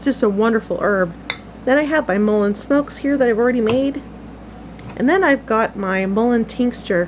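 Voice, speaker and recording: Lively intonation at a moderate pace comes through noticeable background noise. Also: woman, fairly high pitch for a woman. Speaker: homesteading channel host. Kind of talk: tutorial. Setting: outdoors in the woods. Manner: casual, conversational.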